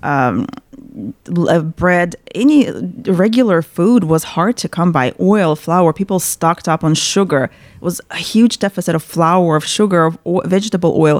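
A woman with a Russian accent and a fairly low pitch talks at a fairly slow pace with ordinary pitch variation, in a dry, close sound with no echo. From central Russia, Chuvash Republic. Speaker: paralegal. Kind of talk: interview. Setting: studio.

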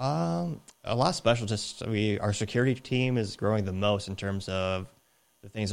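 With an unremarkable speaking voice, a man talks at a moderate pace in a fairly low pitch and with fairly even intonation. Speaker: podcast host. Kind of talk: interview conversation.

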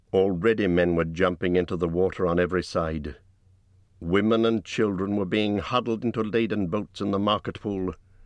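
Over a quiet background, a man talks at a moderate pace. His pitch is very deep and low, and his intonation fairly even. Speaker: audiobook narrator. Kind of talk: dramatic audiobook narration of a dragon attack on a burning town.

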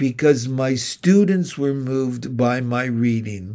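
A man talks in a medium pitch. The recording is very clean, with a silent background. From Ontario, Canada (St. Catharines). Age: 70s. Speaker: retired teacher educator. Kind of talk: solo podcast monologue.

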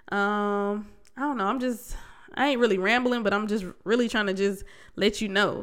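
A woman's fairly high, animated voice at a moderate pace, on a very clean recording with a silent background. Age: 30s. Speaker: podcast host. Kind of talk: casual monologue.

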